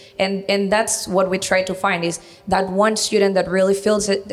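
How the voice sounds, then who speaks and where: The voice is monotone with flat intonation, over noticeable background noise. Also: woman. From Venezuela. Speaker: university recruitment coordinator. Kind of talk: interview on local TV.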